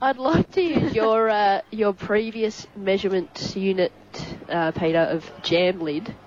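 Speaking at a fairly slow pace with lively intonation, a woman with an Australian accent and a medium pitch comes through over noticeable background noise. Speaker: co-commentator. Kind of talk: casual match analysis.

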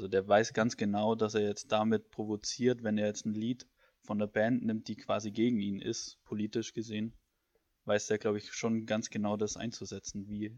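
A man's fairly low pitch in a monotone, flat intonation at a moderate pace, with a dry, close sound and no echo. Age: 20s. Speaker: student podcast co-host. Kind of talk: casual chat.

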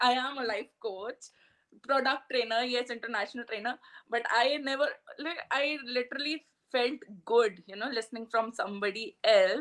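A woman's high voice at a moderate pace with ordinary pitch variation. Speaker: life coach and author. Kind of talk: interview.

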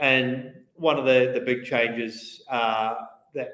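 A man speaks with a New Zealand accent at a medium pitch. Audible room echo surrounds his voice. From New Zealand, Christchurch. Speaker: venture investment platform co-founder. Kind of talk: interview.

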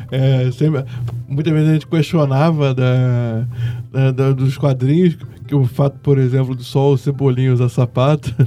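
Against noticeable background noise, a man speaks at a fairly slow pace in a medium pitch, monotone and flat, with hardly any pauses. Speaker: film critic. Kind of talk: casual chat.

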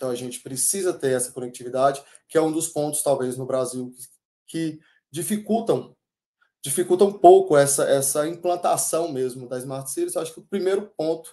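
Speaking at a moderate pace, a man has a fairly high pitch, a dark, mellow tone and ordinary pitch variation. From Bahia, Brazil. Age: 30s. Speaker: civil engineer, public-sector project manager. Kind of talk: webinar talk.

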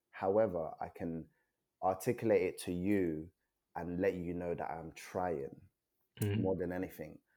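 A man with a London accent speaks at a moderate pace with long, frequent pauses, his very deep, low voice having a dark, mellow tone and fairly even intonation. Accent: London, British. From Nigeria, then South London (Peckham) from age seven. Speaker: poet and author. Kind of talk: casual chat.

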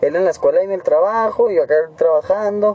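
A fairly quick pace marks this man's speech, with noticeable noise behind him. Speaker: podcaster. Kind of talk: casual chat.

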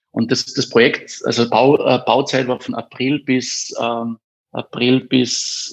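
Speaking very slowly, a man keeps his medium pitch in a monotone, flat intonation. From Austria, Carinthia (Eberndorf). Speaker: education startup founder. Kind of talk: interview. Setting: studio. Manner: hesitant, many fillers.

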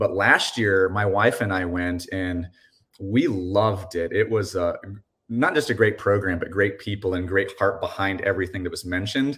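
A man with an ordinary speaking voice talks at a moderate pace and a fairly low pitch. His intonation stays fairly even, and the recording is very clean with a silent background. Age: 40s. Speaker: pastor. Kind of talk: interview.

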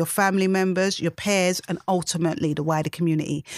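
A woman with a London accent at a medium pitch, her sound dry and close with no echo, on a very clean recording with a silent background. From London, England. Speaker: community worker and author. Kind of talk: interview.

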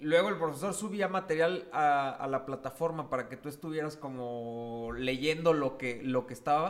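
An unremarkable speaking voice from a man, fairly high in pitch, with hardly any pauses. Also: ordinary pitch variation, moderate pace. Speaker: podcast co-host. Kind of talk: casual chat.

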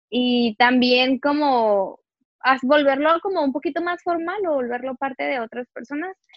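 The woman's voice is high-pitched, with ordinary pitch variation. She speaks at a fairly slow pace. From Mexicali, northwestern Mexico. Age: 20s. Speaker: writer and motivational speaker. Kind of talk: casual interview chat. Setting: at home in her bedroom.

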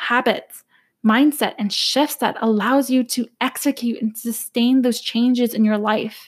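Intonation stays fairly even as the words come out fairly slowly. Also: woman. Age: 20s. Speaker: podcast host and personal finance coach. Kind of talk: solo podcast monologue.

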